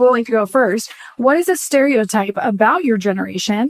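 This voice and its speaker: Her voice is a plain, everyday voice, as this woman talks at a fairly high pitch with lively intonation. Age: 50s. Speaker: podcast host. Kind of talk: panel discussion.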